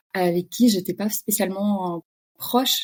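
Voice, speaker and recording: Somewhat breathy, with a dark, mellow tone, a woman speaks in a medium pitch with fairly even intonation on a very clean recording with a silent background. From Russia (Kamchatka). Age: 30s. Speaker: podcast guest, expatriate. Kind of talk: casual interview chat.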